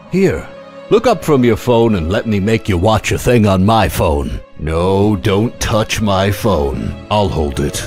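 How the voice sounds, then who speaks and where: A man speaks very slowly in a fairly low voice, his intonation lively, with music playing in the background. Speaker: voice actor. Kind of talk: comedic voice reel read.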